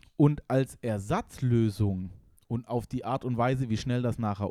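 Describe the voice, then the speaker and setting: A man's medium-pitched voice has a dark, mellow tone and a dry, close sound with no echo. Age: 30s. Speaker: podcast co-host, university student. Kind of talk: casual chat.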